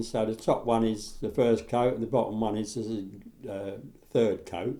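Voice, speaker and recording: Moving at a moderate pace, this voice carries a dark, mellow tone. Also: man. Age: 70s. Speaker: model railway hobbyist. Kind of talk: tutorial. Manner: casual, halting.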